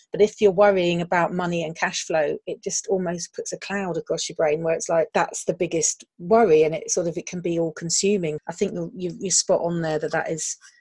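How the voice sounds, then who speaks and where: Talking at a fairly quick clip with hardly any pauses, a woman uses a fairly low, somewhat breathy voice and fairly even intonation, recorded dry and close with no echo. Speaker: podcast host. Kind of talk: casual remote interview.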